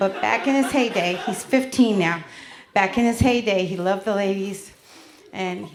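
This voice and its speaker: A woman speaks with an American accent and fairly even intonation. Audible room echo surrounds her voice. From Connecticut and New York, US Northeast. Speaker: stand-up comedian. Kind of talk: stand-up. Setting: stage with audience.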